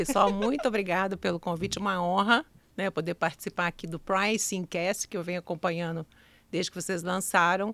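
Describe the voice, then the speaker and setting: A woman in a Minas Gerais accent at a fairly quick pace, medium pitch and ordinary pitch variation, on a very clean recording with a silent background. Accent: Minas Gerais (mineiro). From Minas Gerais, Brazil (Ubá, Zona da Mata). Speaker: customer experience consultant and mentor. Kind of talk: podcast interview.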